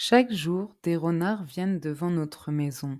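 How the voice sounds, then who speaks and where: A woman's dark, mellow voice with ordinary pitch variation, on a very clean recording with a silent background. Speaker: French teacher. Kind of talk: scripted narration. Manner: slow.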